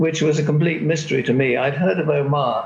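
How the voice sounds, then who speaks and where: Speaking in a British accent, a man keeps a moderate pace. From Britain. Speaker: longtime expatriate. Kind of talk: panel discussion. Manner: halting.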